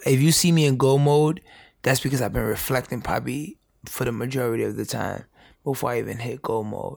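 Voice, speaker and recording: In a very clean recording with a silent background, a man with an unremarkable speaking voice talks fairly quickly at a medium pitch, with ordinary pitch variation. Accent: American. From New York, the Bronx. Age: 20s. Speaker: youth educator. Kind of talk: casual chat. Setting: in person in the Bronx.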